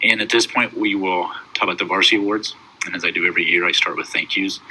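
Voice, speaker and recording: Noticeable background noise runs under a man who speaks very fast. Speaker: high school basketball head coach. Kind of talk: awards banquet speech recorded at home.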